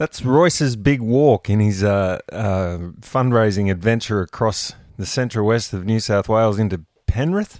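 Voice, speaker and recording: With an Australian accent, a man speaks at a moderate pace and medium pitch, the sound dry and close with no echo over a quiet background. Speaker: rugby league podcast co-host. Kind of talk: casual chat.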